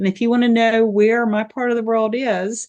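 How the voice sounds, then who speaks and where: A speaker with an Appalachian accent. The background is quiet. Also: woman. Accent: mountain Appalachian. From Appalachian Virginia, Tennessee border. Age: 60s. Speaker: health coach. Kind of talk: casual interview chat.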